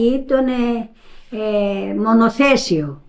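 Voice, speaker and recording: Her fairly high pitch and lively intonation mark this woman's speech. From Crete, Rethymno area village. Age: 90s. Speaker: elderly villager interviewee. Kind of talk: interview. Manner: halting.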